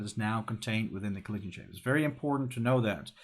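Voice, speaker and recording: This man speaks with a non-native accent. His pitch varies in an ordinary way. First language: not English. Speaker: game developer streamer. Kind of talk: live coding stream. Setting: live stream. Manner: casual, thinking aloud.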